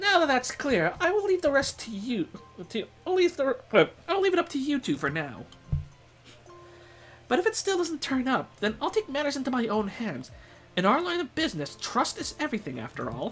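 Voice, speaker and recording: A man puts on a character voice at a fairly quick pace, with long, frequent pauses. Clear music plays in the background. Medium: game stream.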